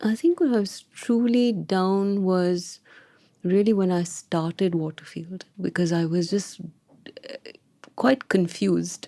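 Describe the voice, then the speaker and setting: A soft-spoken woman with a medium pitch talks in a dark, mellow tone. Her pace is very slow, with ordinary pitch variation. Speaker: founder of wealth advisory firm. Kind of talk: interview. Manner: deliberate.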